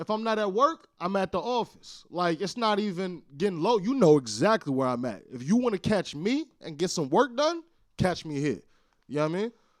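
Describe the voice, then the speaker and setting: This man talks loudly at a moderate pace in a high pitch, with very wide pitch swings and an animated tone. The recording is very clean, with a silent background. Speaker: podcast co-host and studio founder. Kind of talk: casual chat.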